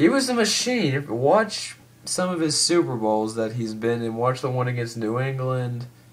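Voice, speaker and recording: Moderate-paced speech from a man at a medium pitch, ordinary pitch variation, audible room echo around it. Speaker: YouTuber, sports commentator. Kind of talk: casual vlog rant. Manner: casual, hesitant with fillers.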